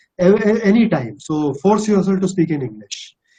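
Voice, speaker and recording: Speaking at a moderate pace, a man uses lively intonation. He has a slight Bihari accent. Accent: slight Bihari Indian English. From India, Bihar. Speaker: corporate executive. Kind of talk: webinar Q&A.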